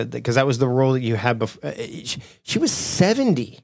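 At a moderate pace, a man with a medium pitch speaks in an ordinary speaking voice. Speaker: podcast host. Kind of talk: interview.

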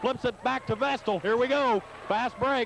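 A man speaks at an extremely high pitch and a moderate pace. The sound is dry with no echo, with light background noise. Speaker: basketball play-by-play announcer. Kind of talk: live play-by-play sports commentary. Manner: animated, with occasional laughs. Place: hall.

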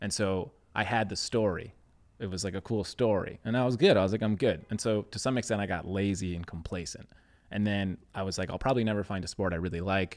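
Very fast and very deep, a man's voice moves with ordinary pitch variation. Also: quiet background. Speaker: podcast host. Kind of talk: casual podcast conversation. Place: studio. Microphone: studio mic.

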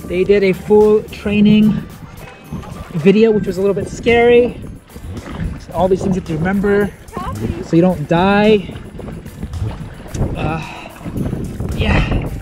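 Clear music plays behind a man who speaks at a fairly slow pace and a high pitch, with long, frequent pauses. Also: fairly even intonation, dry sound with no echo. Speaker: travel vlogger. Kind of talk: casual vlog chat. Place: waterside. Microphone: phone near.

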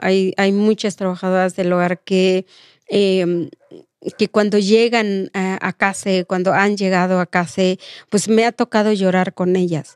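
Very slow speech comes from a woman. The sound is dry with no echo, and the background is quiet. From Oaxaca, Mexico. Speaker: domestic workers' rights activist; guest. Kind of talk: interview. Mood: earnest, reflective. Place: studio. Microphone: studio mic.

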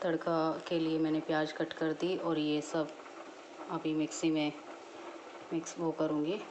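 Over noticeable background noise, a woman speaks very slowly with a very deep, low pitch. Her intonation is monotone and flat, and her loudness stays very even. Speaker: home vlogger. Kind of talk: casual vlog chat. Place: kitchen. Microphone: phone near.

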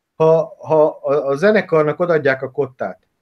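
A man talks with a fairly high pitch and ordinary pitch variation. The background is quiet. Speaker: football coach and analyst. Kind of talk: casual interview chat about football. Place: home room. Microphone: webcam.

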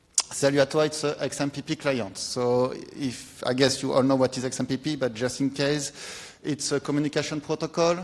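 The speaker has a French accent and a monotone, flat intonation. The pace is moderate, with hardly any pauses. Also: man. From France. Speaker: software developer. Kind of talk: conference talk. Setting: stage with audience. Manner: halting. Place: hall.

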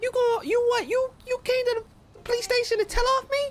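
A woman uses a put-on character voice that is squeaky and extremely high-pitched. Her intonation stays fairly even at a fairly quick pace. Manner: disguised, changed voice.

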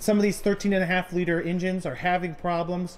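A man talks at a very fast pace in a high voice. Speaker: farmer vlogger. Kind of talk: casual vlog chat. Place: farm machine. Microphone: phone near.

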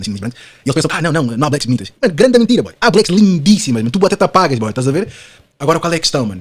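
A fairly high-pitched man's voice with vocal fry, very fast pace and very wide pitch swings. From Portugal. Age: 20s. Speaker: podcast guest. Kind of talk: casual chat. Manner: animated.

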